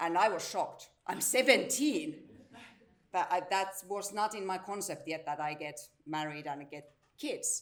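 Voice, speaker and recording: Speaking at a fairly slow pace with a Finnish accent, a woman uses lively intonation and big swings in loudness, with audible room echo around her. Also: medium pitch for a woman. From Finland, Salo area (southwest). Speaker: integration service director and teacher. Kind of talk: conference presentation.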